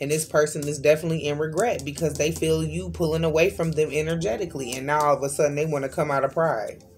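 A woman with a very deep, low pitch talks at a very fast pace with hardly any pauses while faint music plays in the background. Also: ordinary pitch variation. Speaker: card reader. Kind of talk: tarot reading commentary. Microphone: phone near.

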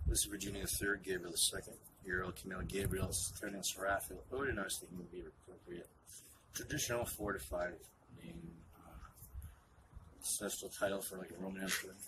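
A man mumbles at a fairly quick pace with ordinary pitch variation, leaving long, frequent pauses over noticeable background noise. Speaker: homeless man. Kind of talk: interview answer. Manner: mumbling. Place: street. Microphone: phone near.

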